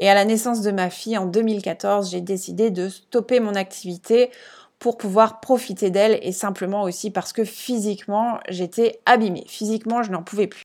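In a very clean recording with a silent background, a woman uses an ordinary speaking voice at a moderate pace, with a medium pitch and fairly even intonation. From France, Alsace. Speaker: podcast host and business coach. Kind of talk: casual solo monologue.

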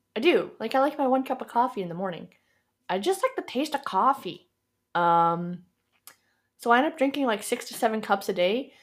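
A woman with a Canadian accent speaks at a high pitch with very wide pitch swings. Her pace is moderate, broken by long, frequent pauses. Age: 20s. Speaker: podcast host. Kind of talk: solo monologue podcast. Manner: casual, filler-heavy.

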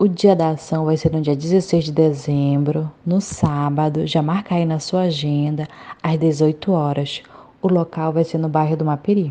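A woman's very deep, low voice, slow-paced and monotone, with flat intonation. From Brazil, Santarém, Pará. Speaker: volunteer project vice-coordinator. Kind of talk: interview testimony.

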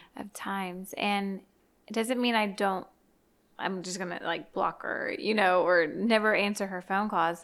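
On a very clean recording with a silent background, a woman talks at a fairly slow pace and medium pitch with fairly even intonation, in an ordinary speaking voice. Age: 30s. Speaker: former teacher. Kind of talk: casual chat.

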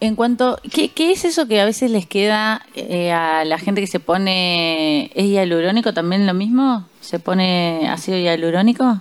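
A woman speaks at a fairly slow pace with hardly any pauses, in a normal speaking voice. Her medium pitch shows ordinary variation, and her loudness stays very even. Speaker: radio host and sommelier. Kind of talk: radio talk show. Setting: radio studio.

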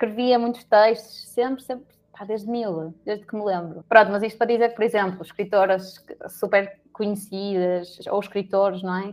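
In an unremarkable speaking voice, a woman speaks at a medium pitch and moderate pace, her intonation fairly even but her loudness swinging widely. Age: 20s. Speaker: HR professional, psychologist. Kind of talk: casual chat.

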